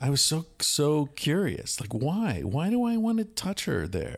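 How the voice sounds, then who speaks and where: An American man speaks very slowly, at a fairly high pitch, with very wide pitch swings and hardly any pauses. His voice is somewhat breathy, and the recording is very clean with a silent background. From United States. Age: 50s. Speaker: author and psychologist. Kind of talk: casual conversation. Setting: recorded at a retreat center in Costa Rica.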